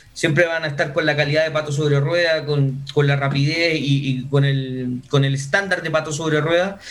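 A man talks with a fairly high pitch. The room echo is audible. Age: 30s. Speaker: entrepreneur, wheelchair user. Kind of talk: interview.

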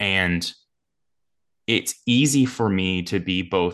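A man talks in an American accent against a quiet background. His pitch varies in an ordinary way. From US East Coast. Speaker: sports podcaster. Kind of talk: interview.

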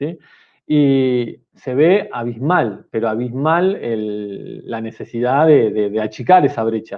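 A man's medium-pitched voice with lively intonation at a very slow pace. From Argentina, Mar del Plata. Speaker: technology teacher. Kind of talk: casual chat.

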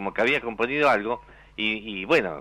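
A man speaks with a bright, sharp tone. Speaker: radio announcer. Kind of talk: casual chat.

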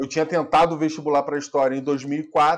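An ordinary speaking voice, a man's fairly high pitch and fairly even intonation over a quiet background. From Rio de Janeiro state, Brazil. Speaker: film producer. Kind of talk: casual interview.

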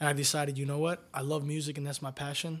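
On a very clean recording with a silent background, a man with an American accent speaks fairly quickly in a fairly high, somewhat breathy voice with monotone, flat intonation. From Florida, Tampa. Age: 20s. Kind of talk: casual interview.

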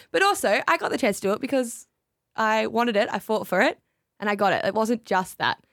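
A woman with an Australian accent speaks at a fairly quick pace and a fairly high pitch, with ordinary pitch variation and very even loudness, in a very clean recording with a silent background and a dry, close sound with no echo. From Tasmania, Australia. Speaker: radio brand lead and announcer. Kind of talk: casual chat.

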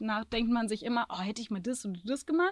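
A woman speaks in a plain, everyday voice at a fairly high pitch. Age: 20s. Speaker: social work student, van traveler. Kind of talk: casual chat. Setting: inside her van in Andalusia.

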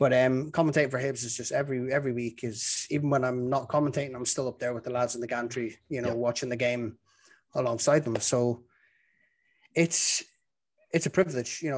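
A man at medium pitch talks at a fairly quick pace with fairly even intonation. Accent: Dublin. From Ireland, Dublin. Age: 30s. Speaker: football commentator. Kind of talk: casual chat.

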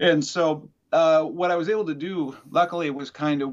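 A man speaks at a moderate pace with an Upper Midwest accent. The background is quiet. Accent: Upper Midwest American. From Wisconsin. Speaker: musician. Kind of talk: interview. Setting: video call.

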